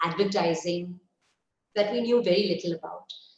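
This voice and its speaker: This woman's voice sits at a medium pitch. It carries a somewhat breathy quality. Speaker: company chairperson. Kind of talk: interview. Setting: webinar.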